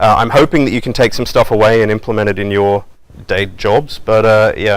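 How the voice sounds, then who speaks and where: With an Australian accent, a man speaks at a fairly quick pace in a fairly low pitch. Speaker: software development manager, conference speaker. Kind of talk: conference talk. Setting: stage with audience. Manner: fast; casual, filler-heavy.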